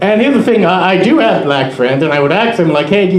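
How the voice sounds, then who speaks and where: Very fast speech from a man with a slight non-native accent. Room echo is audible, along with noticeable background noise. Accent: sounds slightly foreign. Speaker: comedian. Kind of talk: stand-up. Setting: stage with audience.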